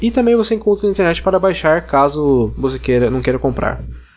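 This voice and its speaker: This man talks at a very fast pace, his fairly high voice rising and falling in a lively way. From Brazil, interior of São Paulo state (Ribeirão Preto). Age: 20s. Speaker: podcast listener. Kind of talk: recorded listener recommendation.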